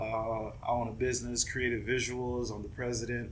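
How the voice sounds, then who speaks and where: A man with a medium pitch speaks in a monotone, flat intonation with vocal fry, and audible room echo can be heard. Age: 30s. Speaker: videographer and business owner. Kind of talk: casual chat.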